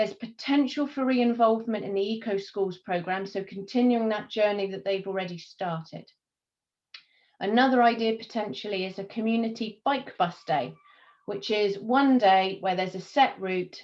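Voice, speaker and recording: With a plain, everyday voice, a woman speaks at a moderate pace and medium pitch, using ordinary pitch variation. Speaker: community volunteer working with schools. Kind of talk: presentation in community video meeting.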